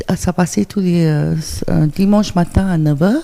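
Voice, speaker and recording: This woman's voice is dark and mellow, fairly low in pitch. She talks at a fairly slow pace with fairly even intonation. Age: 60s. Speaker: interview guest, former TV presenter and technician. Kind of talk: radio interview. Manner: hesitant, many fillers.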